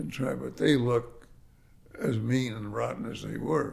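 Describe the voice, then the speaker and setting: In audible room echo, a man with an American accent talks at a fairly slow pace. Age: 80s+. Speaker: real estate developer. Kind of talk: interview storytelling. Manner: halting.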